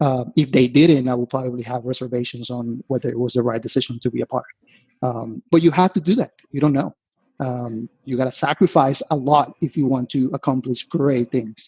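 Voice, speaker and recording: A man's somewhat breathy, medium-pitched voice with a Spanish accent. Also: fairly even intonation, fairly quick pace. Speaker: investment analyst. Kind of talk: podcast interview. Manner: casual, frequent fillers and restarts.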